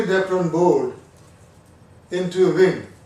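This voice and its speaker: A man speaks in a high voice at a fairly slow pace, with audible room echo. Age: 60s. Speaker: retired hobbyist, first-time builder. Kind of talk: casual review chat.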